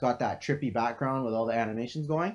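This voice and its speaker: The speech goes at a very fast pace with ordinary pitch variation. The background is quiet. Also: man. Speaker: crypto trading analyst streamer. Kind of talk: live stream Q&A. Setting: home live stream, living room. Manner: casual with many fillers.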